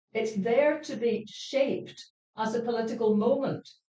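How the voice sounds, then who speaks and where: Talking at a fairly slow pace, a woman with a Scottish accent has a fairly high pitch. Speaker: panel speaker. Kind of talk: panel discussion. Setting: stage with audience. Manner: animated.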